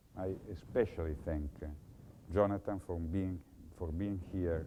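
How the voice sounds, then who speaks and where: A man speaks at a moderate pace in a very deep, low pitch with a dark, mellow tone and ordinary pitch variation. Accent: Italian. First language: Italian. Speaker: professor. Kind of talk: lecture. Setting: lecture hall with audience. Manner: formal.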